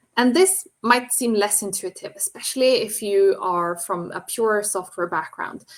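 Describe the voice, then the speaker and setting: Medium pitch and ordinary pitch variation from a woman with a non-native accent. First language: not English. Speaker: software engineer and green software speaker. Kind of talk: presentation talk.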